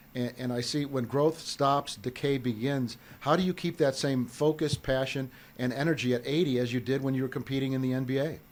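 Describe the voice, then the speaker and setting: At a fairly quick pace, a man talks at a medium pitch with fairly even intonation. He has a normal speaking voice. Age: 60s. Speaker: podcast host. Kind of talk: interview.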